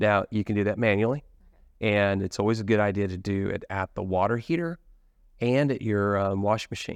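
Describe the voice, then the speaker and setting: An unremarkable speaking voice from a man with an American accent, fairly low in pitch, with ordinary pitch variation, a fairly quick pace and a quiet background. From US Midwest. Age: 50s. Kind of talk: casual interview.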